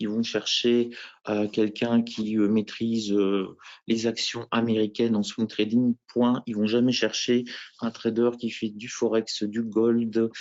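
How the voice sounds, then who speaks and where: At a very slow pace, a man speaks in a monotone, flat intonation at a medium pitch. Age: 50s. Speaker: professional futures trader, former teacher. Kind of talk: interview self-presentation at conference. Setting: trading conference.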